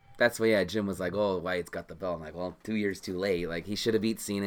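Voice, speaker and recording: A man with a very deep, low pitch talks at a very fast pace in an American accent. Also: hardly any pauses. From US Midwest, Illinois. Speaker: former indie wrestler. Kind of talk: casual chat. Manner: soft-spoken.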